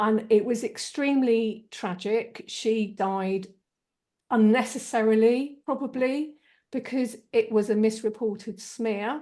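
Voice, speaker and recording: Against a quiet background, a woman with a southern English accent talks at a fairly slow pace, her fairly high pitch carrying a dark, mellow tone and fairly even intonation. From southeast England, Kent. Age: 50s. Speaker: energy healer and spiritual channel. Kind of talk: interview. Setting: video call.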